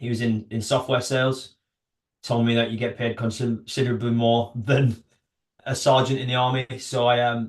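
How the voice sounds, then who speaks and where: A man's northern English accent at a fairly quick pace, in monotone, flat intonation. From northern England. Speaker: army veteran and startup founder. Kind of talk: podcast interview. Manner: hesitant, many fillers.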